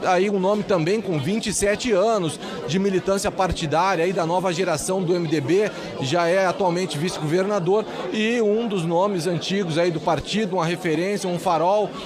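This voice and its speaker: Over noticeable background noise, a man with a high pitch speaks at a moderate pace, with fairly even intonation and very even loudness. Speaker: political reporter. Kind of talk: live TV field report. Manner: fluent, unscripted.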